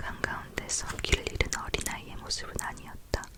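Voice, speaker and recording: Whispering over noticeable background noise. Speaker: ASMR creator. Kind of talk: read story, book reading. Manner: soft-spoken.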